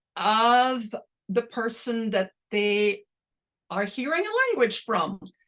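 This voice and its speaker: Speaking very slowly with a Dutch accent, a woman uses lively intonation. Her pitch sits fairly high. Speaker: linguistics professor. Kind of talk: Q&A after lecture. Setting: video call. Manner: slow, clearly articulated.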